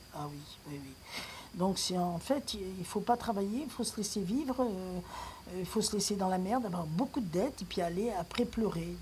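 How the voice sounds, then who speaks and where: A woman speaks at a medium pitch with some vocal fry. Her pace is moderate and her intonation lively. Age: 60s. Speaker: retiree. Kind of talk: personal video rant. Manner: animated.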